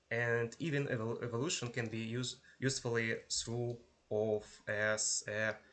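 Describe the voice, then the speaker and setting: Against a quiet background, a man with a non-native accent speaks at a medium pitch. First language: not English. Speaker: university lecturer. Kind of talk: lecture. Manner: halting, with pauses and repetitions.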